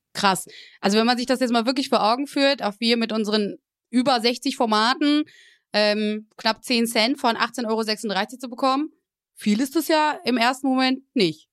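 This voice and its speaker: Recorded very cleanly against a silent background, a woman speaks at a high pitch. She keeps a moderate pace with ordinary pitch variation. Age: 20s. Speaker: podcast host and partner manager. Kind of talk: casual interview.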